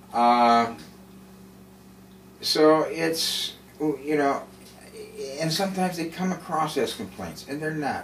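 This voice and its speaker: Amid noticeable background noise and audible room echo, a man with a fairly high pitch talks at a very slow pace. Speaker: video blogger living with MS. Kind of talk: casual monologue. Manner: halting, hesitant; slow, effortful.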